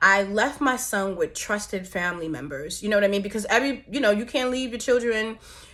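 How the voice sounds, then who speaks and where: A woman with an ordinary speaking voice, fairly high-pitched and lively in intonation, at a fairly quick pace with hardly any pauses. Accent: American. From New York. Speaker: vlogger, mother and entrepreneur. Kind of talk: personal vlog testimony.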